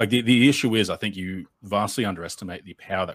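Fairly even intonation carries this man's very fast speech, in an Australian accent. The sound is dry and close with no echo, on a very clean recording with a silent background. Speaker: progressive political content creator. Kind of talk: debate.

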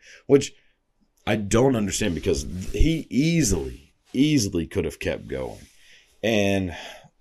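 The man's voice has vocal fry. His pitch swings very widely. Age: 20s. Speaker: podcast host. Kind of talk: casual monologue. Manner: casual with many filler words.

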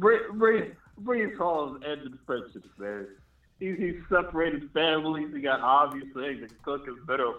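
A plain, everyday voice with lively intonation speaks at a moderate pace, its loudness swinging widely. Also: man. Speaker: live stream caller. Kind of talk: casual chat.

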